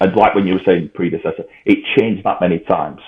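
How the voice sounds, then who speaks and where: This man has a British accent. He delivers his words at a fairly quick pace. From UK. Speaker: political commentator. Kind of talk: interview answer. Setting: poor-quality remote recording. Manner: unfiltered, straight-talking.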